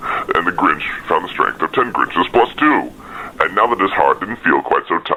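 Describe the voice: What's heard is plain reading aloud.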